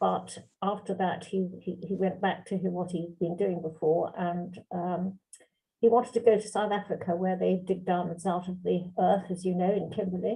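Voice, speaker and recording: At a moderate pace, a woman speaks in a somewhat breathy voice with monotone, flat intonation. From London, England. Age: 80s+. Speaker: barrister and journal editor. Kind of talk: interview. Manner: hesitant.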